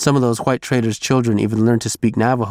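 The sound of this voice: Here is an unforced reading voice. The intonation stays fairly even.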